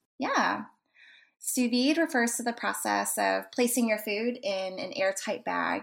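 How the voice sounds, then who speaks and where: A woman speaks with an American accent at a moderate pace. The recording is very clean, with a silent background. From Texas (Dallas), US. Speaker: food photographer and cannabis chef. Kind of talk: interview. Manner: frequent fillers (um, uh).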